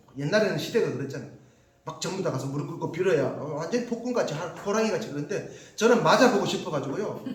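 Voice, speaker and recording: With audible room echo and noticeable background noise, a man talks very fast in an animated tone with lively intonation. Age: 50s. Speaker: pastor. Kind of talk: sermon.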